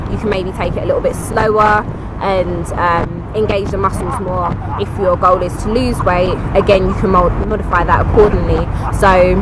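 A woman's dry voice with no echo over loud background noise. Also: moderate pace. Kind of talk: casual vlog chat. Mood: upbeat, positive review. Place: garden. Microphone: phone near.

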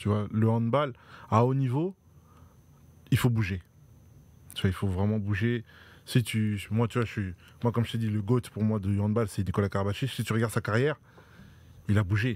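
A man with a fairly low pitch talks at a moderate pace, with fairly even intonation. He leaves long, frequent pauses, and the sound is dry with no echo. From France, Dreux (Eure-et-Loir); France. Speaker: professional handball player; guest. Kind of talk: casual interview. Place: studio. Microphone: studio mic.

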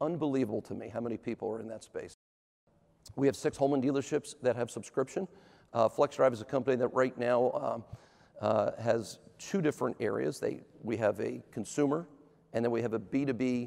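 Speaking at a fairly quick pace, a man has a dark, mellow tone and ordinary pitch variation. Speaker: presenter. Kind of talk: conference talk. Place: stage. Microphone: lapel.

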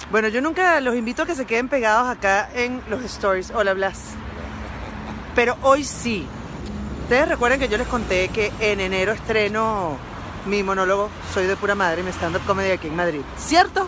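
Animated and lively in intonation, a woman with a fairly high pitch speaks at a moderate pace in a dry recording with no echo and noticeable background noise. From Latin America (not Spain). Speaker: comedian. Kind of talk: casual social media vlog. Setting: outdoors on a street at night. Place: street. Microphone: phone near.

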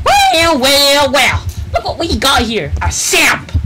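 A put-on character voice moves at a fairly slow pace over loud background noise. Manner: shouting, exaggerated.

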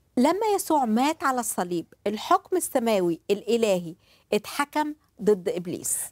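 Against a quiet background with a dry, echo-free sound, a woman with an Egyptian accent speaks at a fairly slow pace with very wide pitch swings. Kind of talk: religious talk show with live interpretation. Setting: studio. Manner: animated. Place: studio. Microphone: lapel.

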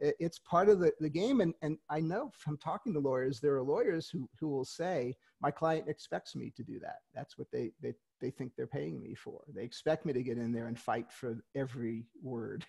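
Somewhat breathy and dark, mellow in tone, a man speaks at a fairly high pitch and a moderate pace. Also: quiet background. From New York City, Queens; New York. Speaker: author and retired lawyer; retired lawyer. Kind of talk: interview. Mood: friendly, relaxed. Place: home room. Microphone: headset.

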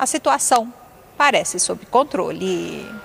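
This woman has a plain, everyday voice. Her pitch sits fairly high and her intonation is lively. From Brazil. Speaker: news reporter. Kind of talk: TV news report. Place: street. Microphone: handheld.

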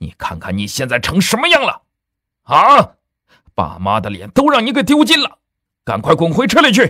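In a put-on character voice, a man speaks high and bright, sharp, with very wide pitch swings. He keeps a moderate pace with long, frequent pauses.

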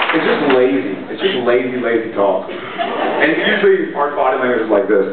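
A man with a Texas accent at a moderate pace, amid loud background noise and audible room echo. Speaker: actor. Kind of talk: fan convention panel answer. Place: hall.

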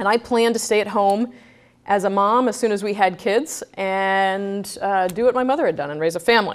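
A woman with an American accent speaks at a fairly quick pace with ordinary pitch variation. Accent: none, by her own account. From Brooklyn, New York. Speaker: bank executive. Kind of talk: guest lecture. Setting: stage with audience. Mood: candid, lightly humorous. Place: hall.

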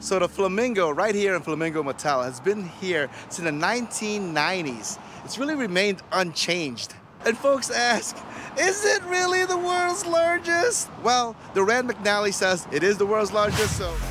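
Over noticeable background noise, a man speaks fairly slowly with very wide pitch swings, the sound dry with no echo. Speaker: family travel vlogger. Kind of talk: casual vlog chat. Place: street. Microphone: phone near.

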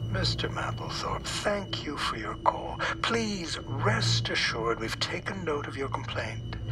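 A put-on character voice whispers in a nasal tone at a fairly slow pace. Loud background noise fills the clip. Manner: calm, soothing, quietly menacing.

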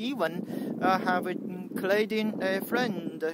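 Loud background noise sits behind a dry sound with no echo. A man with a Chinese accent speaks at a high pitch. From mainland China. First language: Mandarin Chinese. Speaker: YouTuber; vlogger. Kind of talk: vlog monologue. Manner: halting, many fillers. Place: garden. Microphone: phone near.

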